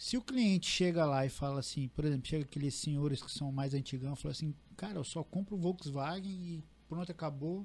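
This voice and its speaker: A man with an unremarkable speaking voice talks at a fairly quick pace with hardly any pauses. His pitch is fairly high and varies in an ordinary way. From Paraná, Brazil. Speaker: real estate agency owner. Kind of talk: casual chat.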